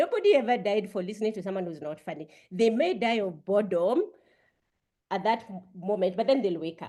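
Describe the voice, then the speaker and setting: This woman has a dark, mellow tone. She talks at a fairly quick pace. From Kenya, Kiambu. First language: a Kenyan language, not English. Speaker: Toastmasters session leader. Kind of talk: humor workshop talk.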